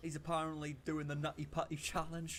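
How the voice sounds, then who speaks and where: Fairly quick speech against noticeable background noise. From Wales. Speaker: commentary streamer. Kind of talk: reaction commentary. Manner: animated.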